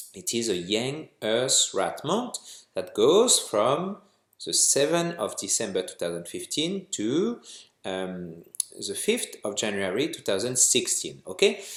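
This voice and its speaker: Over a silent background in a very clean recording, a man speaks at a fairly slow pace with a strong French accent. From France. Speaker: astrology consultant. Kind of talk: vlog forecast talk. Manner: hesitant, many fillers.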